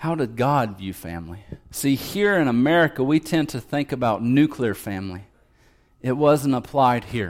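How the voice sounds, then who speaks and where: With a plain, everyday voice, a man talks at medium pitch and a moderate pace, using lively intonation. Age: 30s. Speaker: pastor. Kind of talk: sermon. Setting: church.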